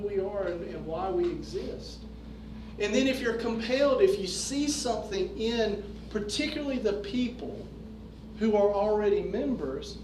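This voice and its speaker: A man with an American accent speaks at a high pitch. Audible room echo and noticeable background noise are in the recording. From North Carolina. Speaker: fraternal organization leader. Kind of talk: lecture.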